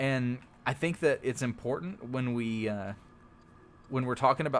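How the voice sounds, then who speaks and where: A man with a Texas accent and ordinary pitch variation. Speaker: video game streamer / YouTuber. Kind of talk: casual gaming tutorial commentary. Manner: halting, many fillers.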